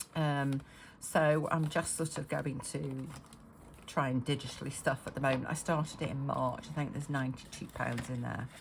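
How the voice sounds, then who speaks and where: A woman speaks at a moderate pace with a very deep, low pitch, fairly even intonation and a somewhat breathy sound. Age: 50s. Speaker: budgeting vlogger. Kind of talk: casual talk to camera. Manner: hesitant, many fillers.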